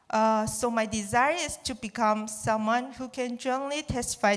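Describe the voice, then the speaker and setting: A woman with a Chinese accent talks at a moderate pace. Her voice is high in pitch. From China. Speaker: student. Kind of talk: testimony. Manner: halting.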